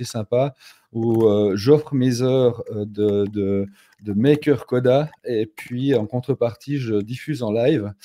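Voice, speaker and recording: A man's dark, mellow voice holds fairly even intonation. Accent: Swiss. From Switzerland, canton of Fribourg. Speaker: no-code consultant. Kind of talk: live stream conversation. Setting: live stream.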